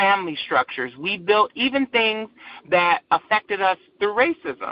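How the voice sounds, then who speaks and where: A woman with an American accent, very wide pitch swings, and a moderate pace. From Michigan, Saginaw (Buena Vista). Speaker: LGBTQ nonprofit director and activist. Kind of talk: interview. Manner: halting, with frequent repeats.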